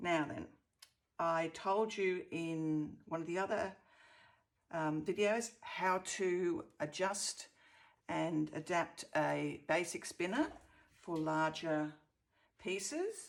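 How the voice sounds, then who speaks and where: A woman is speaking. Her pace is very slow. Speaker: fluid art instructor. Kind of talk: craft tutorial talk. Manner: casual, hesitant.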